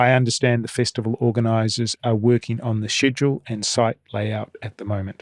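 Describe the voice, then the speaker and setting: Speaking at a fairly quick pace with hardly any pauses, a man with a slight New Zealand accent keeps a medium pitch and monotone, flat intonation, the sound dry and close with no echo. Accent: mild New Zealand. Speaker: podcast host. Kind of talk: interview; scripted announcements.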